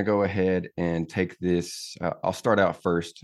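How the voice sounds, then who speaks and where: In an American accent, a man speaks at a very slow pace with monotone, flat intonation. The recording is very clean, with a silent background. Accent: Southern US accent, deliberately reduced. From Tennessee. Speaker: podcast host, army veteran. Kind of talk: casual interview chat.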